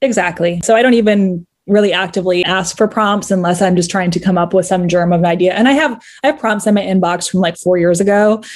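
Talking at a very fast pace, a woman keeps a medium pitch and very even loudness. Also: ordinary pitch variation. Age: 30s. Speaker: fan fiction writer. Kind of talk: casual interview.

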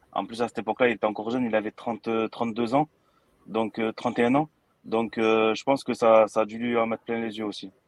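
A man speaks at a moderate pace and medium pitch, his intonation monotone and flat, in a dry, close sound with no echo. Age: 30s. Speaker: boxing YouTube creator. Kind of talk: casual chat. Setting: studio.

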